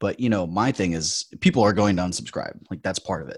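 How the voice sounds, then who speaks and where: A very deep, low male voice with vocal fry at a very fast pace, dry and close with no echo. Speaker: podcast co-host, online business entrepreneur. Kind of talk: casual chat. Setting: remote online call. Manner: animated, rambling.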